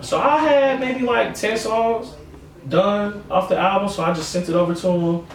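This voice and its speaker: With noticeable background noise and audible room echo, a man speaks at a high pitch. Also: lively intonation, moderate pace. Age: 20s. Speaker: musician and record label owner. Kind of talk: casual interview chat.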